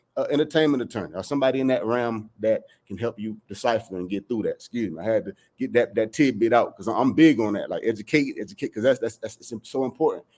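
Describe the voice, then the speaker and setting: Talking at a very fast pace, a man with a Southern US accent has a medium pitch and ordinary pitch variation. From South Carolina, US. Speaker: music producer. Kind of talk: interview answer.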